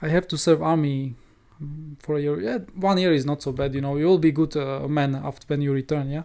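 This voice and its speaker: With a non-native accent, the speaker talks at a fairly quick pace in a dark, mellow tone, keeping the intonation fairly even. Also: man, fairly high pitch for a man. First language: not English. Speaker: crypto trading streamer. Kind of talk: educational livestream. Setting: live stream.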